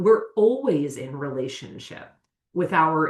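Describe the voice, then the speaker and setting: In a plain, everyday voice, a woman talks at a fairly slow pace, her fairly low pitch carried by lively intonation. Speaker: somatic educator. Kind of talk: podcast interview. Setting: video call from her office. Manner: deliberately slowed speech.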